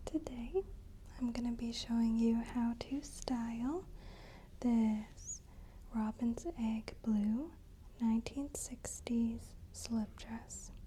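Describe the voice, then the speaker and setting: Soft-spoken delivery at a very slow pace. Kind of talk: ASMR styling walkthrough, over-explaining demonstration. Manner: soft-spoken, slow, detailed.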